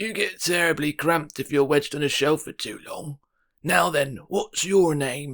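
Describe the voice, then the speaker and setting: In a put-on character voice, a man sounds raspy and wheezy, fairly high-pitched, at a moderate pace. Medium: read story. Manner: brisk, bossy.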